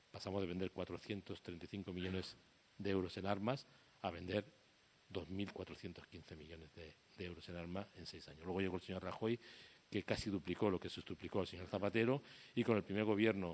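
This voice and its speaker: With big swings in loudness, a man talks at a fairly quick pace in a very deep, low pitch. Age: 60s. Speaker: war photographer. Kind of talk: public talk. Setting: talk with live audience. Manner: animated.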